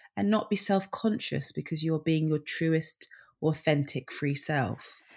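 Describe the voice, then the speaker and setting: In a very clean recording with a silent background, a woman with a British accent talks fairly slowly in a very deep, low voice for a woman. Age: 30s. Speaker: singer and children's author. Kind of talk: casual interview chat.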